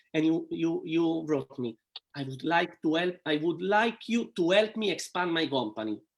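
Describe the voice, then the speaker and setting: Lively intonation in an Italian accent, at a moderate pace. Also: man, high pitch for a man. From Italy. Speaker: network marketing entrepreneur. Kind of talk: interview. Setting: live stream video call. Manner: halting.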